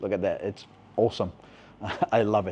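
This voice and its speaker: The voice belongs to a man with a dark, mellow tone. He keeps a moderate pace. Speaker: food vlogger. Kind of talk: casual vlog chat. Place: cafe. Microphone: lapel.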